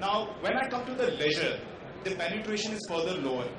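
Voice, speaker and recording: The speech moves at a fairly quick pace. Audible room echo and noticeable background noise are present. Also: man. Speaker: panelist. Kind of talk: panel discussion talk. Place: hall.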